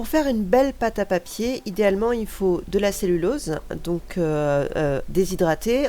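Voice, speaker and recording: Over music in the background, a woman speaks at a medium pitch with lively intonation. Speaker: crafter, art school graduate. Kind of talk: craft tutorial voice-over. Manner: casual, chatty.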